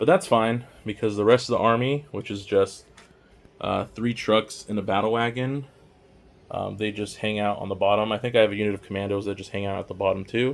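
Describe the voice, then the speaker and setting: A quiet man talks at a fairly quick pace, fairly low in pitch and with fairly even intonation. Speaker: miniature painting hobbyist YouTuber. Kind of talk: casual showcase walkthrough. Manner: casual, filler-heavy.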